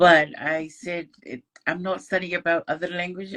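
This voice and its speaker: The speaker talks at a fairly slow pace with a Tongan accent. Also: woman. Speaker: scholarship student. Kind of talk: casual interview. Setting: online live stream.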